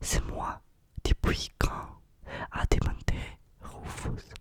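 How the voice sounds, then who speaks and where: A woman whispers over noticeable background noise. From Russia. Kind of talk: ASMR book reading. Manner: whispered, soft.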